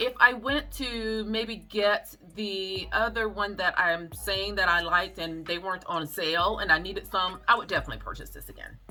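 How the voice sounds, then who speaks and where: Amid noticeable background noise, a woman at a medium pitch speaks at a moderate pace with hardly any pauses, ordinary pitch variation and big swings in loudness. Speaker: beauty and natural hair vlogger. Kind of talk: product review vlog. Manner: casual, conversational.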